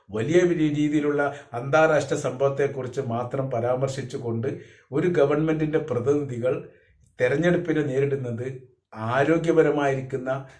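Audible room echo surrounds a man whose voice is somewhat breathy. He speaks at fairly high pitch with fairly even intonation. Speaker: political commentator. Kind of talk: political commentary monologue.

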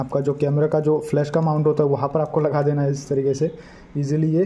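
A man at a moderate pace, somewhat breathy. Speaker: product reviewer. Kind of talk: tutorial. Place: home room.

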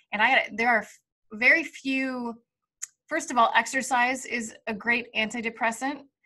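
A woman speaks with an American accent in a high, bright, sharp voice. Her pitch varies in an ordinary way against a quiet background. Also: moderate pace. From US Midwest, Kansas City; Missouri. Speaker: UFC presenter and former MMA fighter; presenter, guest. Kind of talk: casual chat. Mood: warm, relaxed. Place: home room. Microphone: studio mic.

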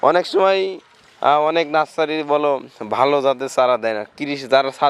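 A man in a normal speaking voice keeps a fairly high pitch and ordinary pitch variation. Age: young. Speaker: plant nursery owner. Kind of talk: casual interview on site.

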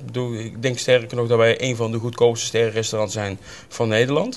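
A man speaks at a fairly quick pace in a medium pitch. His voice has little pitch movement.

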